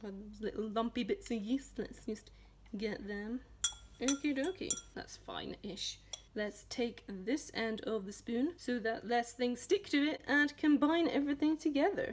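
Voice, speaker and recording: A woman's high-pitched voice in a Scottish accent, at a fairly slow pace. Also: lively intonation. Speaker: home cooking tutorial host. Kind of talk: casual cooking tutorial to camera. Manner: playful, jokey.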